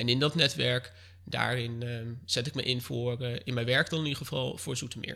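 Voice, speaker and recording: A man speaks at a medium pitch in a bright, sharp tone. His pace is moderate and his intonation fairly even. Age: 20s. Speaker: local political candidate. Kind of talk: interview. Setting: living room of his mother's home.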